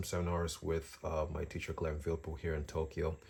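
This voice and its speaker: A somewhat breathy man with a dark, mellow tone at a moderate pace, in a very clean recording with a silent background. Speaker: drawing teacher and artist. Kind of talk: casual tutorial vlog. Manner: halting, many fillers.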